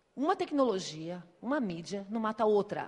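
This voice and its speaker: The delivery has an animated tone, with very wide pitch swings. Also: woman. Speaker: speaker on digital marketing. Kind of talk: conference talk. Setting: stage with audience. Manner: fast.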